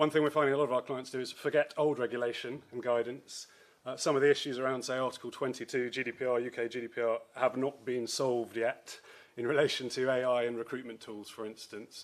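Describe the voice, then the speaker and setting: Speaking at a very fast pace, a man with a British accent keeps a monotone, flat intonation. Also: medium pitch for a man. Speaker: lawyer specialising in data and AI. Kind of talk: conference talk.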